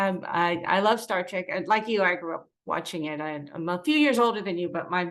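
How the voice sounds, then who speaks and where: A woman speaks in a plain, everyday voice at a medium pitch with ordinary pitch variation. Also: fairly quick pace, hardly any pauses. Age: 60s. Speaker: entertainment interviewer. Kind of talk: interview.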